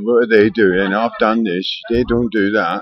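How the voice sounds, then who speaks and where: Amid noticeable background noise, a man speaks at a moderate pace and fairly low pitch with monotone, flat intonation. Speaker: video diarist. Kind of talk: casual talk to camera.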